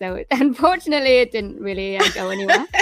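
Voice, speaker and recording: A woman with a high pitch speaks at a fairly quick pace, her pitch swinging very widely over noticeable background noise. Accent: Welsh. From Swansea, Wales. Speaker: musician and voiceover coach. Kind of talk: interview answer. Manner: casual, chatty.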